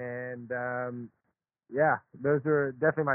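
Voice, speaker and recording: This man has an ordinary speaking voice and an American accent. His pitch is medium and his intonation fairly even. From US South (Charlotte, North Carolina). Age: 20s. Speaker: professional tennis player. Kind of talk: interview.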